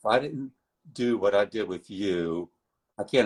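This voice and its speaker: With a plain, everyday voice, a man speaks at a moderate pace and ordinary pitch variation in a dry, close sound with no echo. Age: 60s. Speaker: former fitness client. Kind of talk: interview testimony.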